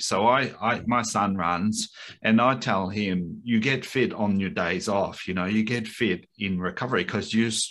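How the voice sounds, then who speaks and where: A man speaks with an Australian accent in a fairly low voice. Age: 60s. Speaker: breathwork coach and former Olympic runner. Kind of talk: interview. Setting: video call.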